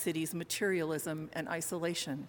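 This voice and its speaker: A woman speaks in an ordinary speaking voice, her pitch fairly low. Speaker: minister. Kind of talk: sermon. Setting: church.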